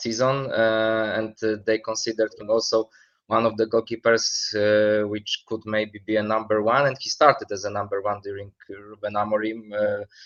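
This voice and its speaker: A man with a Polish accent, medium in pitch, flat and monotone, at a fairly slow pace. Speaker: football expert. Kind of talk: interview. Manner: halting, many fillers.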